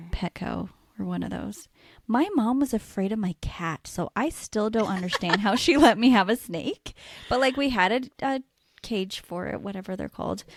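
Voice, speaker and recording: In a West Coast US accent, a woman talks at a moderate pace with a medium pitch and vocal fry, recorded dry and close with no echo. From US Pacific Northwest, Washington state. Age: 30s. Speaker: podcast co-host, nurse. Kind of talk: casual chat.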